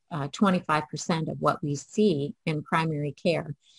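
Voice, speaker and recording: The voice is somewhat breathy, with ordinary pitch variation. The background is quiet and the sound is dry and close, with no echo. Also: woman. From Canada, Toronto. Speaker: family physician. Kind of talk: conference keynote presentation.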